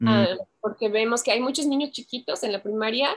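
Music plays in the background as a woman speaks with an English accent. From US Pacific Northwest. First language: English (speaking Spanish). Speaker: community worker and researcher. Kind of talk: interview. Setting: video call.

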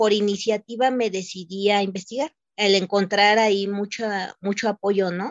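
A woman with an unremarkable speaking voice talks at a fairly slow pace in a medium pitch. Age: 30s. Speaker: domestic worker. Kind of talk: testimony.

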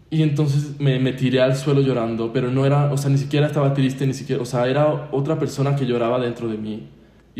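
A man with a medium-pitched, somewhat breathy voice and a dark, mellow tone speaks at a fairly quick pace in a flat monotone, with audible room echo. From Mexico, San Luis Potosí. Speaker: podcast guest. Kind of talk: testimony.

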